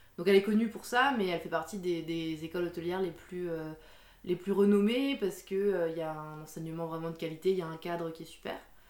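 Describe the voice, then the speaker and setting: Noticeable background noise sits behind a woman speaking at a fairly quick pace. Her loudness swings widely. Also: fairly low pitch for a woman, ordinary pitch variation. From Alsace, France. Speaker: coffee shop owner. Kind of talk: interview.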